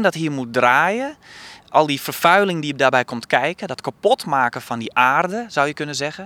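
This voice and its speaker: Fairly high for a man, this voice has a bright, sharp tone and lively intonation, recorded dry and close with no echo. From Friesland, Netherlands. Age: 30s. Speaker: theatre director. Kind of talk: interview. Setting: outdoors on a rooftop.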